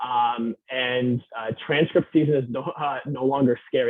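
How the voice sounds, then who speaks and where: The speaker has an American accent. The intonation stays fairly even. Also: man. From New York. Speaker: university admissions operations manager. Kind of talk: webinar presentation. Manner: fast; halting, many fillers.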